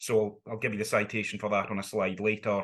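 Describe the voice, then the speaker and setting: A man talks in a strong Scottish accent at a fairly low pitch. The background is quiet. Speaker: law academic. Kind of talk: online seminar lecture. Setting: video call.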